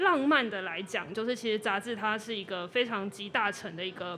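At a moderate pace, a woman speaks in a fairly high pitch with a bright, sharp tone. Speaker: magazine editor-in-chief. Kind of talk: casual interview. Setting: live podcast recording.

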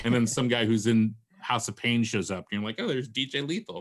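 A man speaks in a plain, everyday voice with fairly even intonation. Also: very clean recording, silent background. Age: 50s. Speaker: novelist and podcaster. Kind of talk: casual interview chat. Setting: podcast interview.

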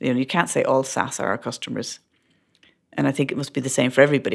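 A woman with an Irish accent speaks in a very deep, low voice with fairly even intonation. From Ireland. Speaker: startup founder and CEO. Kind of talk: interview. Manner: halting, many fillers.

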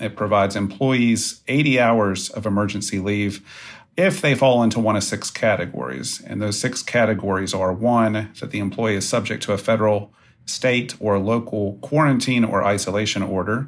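An American accent marks a man's normal speaking voice, which has a fairly low pitch, ordinary pitch variation, and a moderate pace. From West Virginia. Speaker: employment lawyer. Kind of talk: interview.

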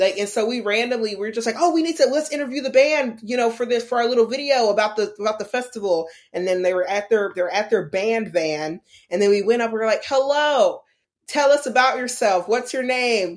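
At a fairly quick pace, a woman with an unremarkable speaking voice talks at a fairly high pitch. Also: lively intonation, very clean recording, silent background. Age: 20s. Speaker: illustrator and animator. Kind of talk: interview. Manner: casual, many fillers.

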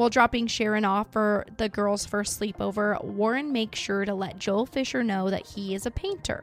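Her pitch medium, a woman with an Idaho accent speaks at a moderate pace. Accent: Idaho accent, drops T sounds. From Idaho, US. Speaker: true crime podcast host. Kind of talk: true crime narration. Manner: casual, chatty.

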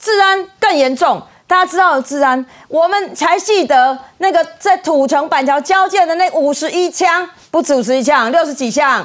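Spoken in a Taiwanese accent at a moderate pace, the voice shows ordinary pitch variation. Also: woman, extremely high pitch for a woman. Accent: Taiwanese Mandarin. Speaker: city councillor. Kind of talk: political talk show panel.

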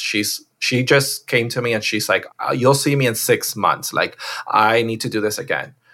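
In an American accent, the speaker talks at a moderate pace with a bright, sharp tone, in a very clean recording with a silent background. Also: man. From Miami, Florida. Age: 40s. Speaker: portrait photographer. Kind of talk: interview.

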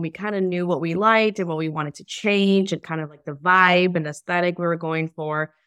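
A woman with an American accent and a plain, everyday voice speaks at a fairly quick pace in a fairly low pitch, with fairly even intonation against a quiet background. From Chicago. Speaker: career coach, homebuilding client. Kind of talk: casual interview chat.

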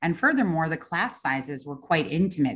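A woman speaks with a New York accent. The background is quiet. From Long Island, New York. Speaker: interior designer. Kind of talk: casual interview.

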